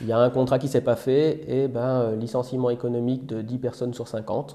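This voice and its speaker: A man with a slight Belgian accent, dark, mellow tone, fairly quick pace and monotone, flat intonation. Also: medium pitch for a man. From Belgium. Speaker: software engineer. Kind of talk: casual interview. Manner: hesitant, many fillers.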